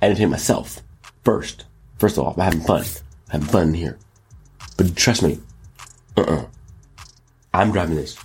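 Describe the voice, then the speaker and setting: A man's somewhat breathy voice. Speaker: show host; rapper. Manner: energetic, animated.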